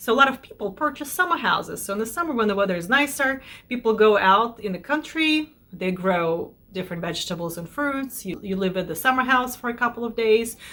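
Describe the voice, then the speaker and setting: With a Russian accent, a woman talks at a fairly quick pace with hardly any pauses, her fairly high voice bright and sharp in tone and her intonation lively. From Belarus. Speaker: lifestyle vlogger. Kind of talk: casual chat to camera. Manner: conversational with self-corrections.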